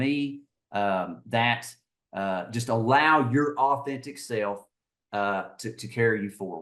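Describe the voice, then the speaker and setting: A man with an Eastern Kentucky accent against a quiet background. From rural Eastern Kentucky. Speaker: HR director. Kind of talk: podcast interview. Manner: halting, many fillers and repeats.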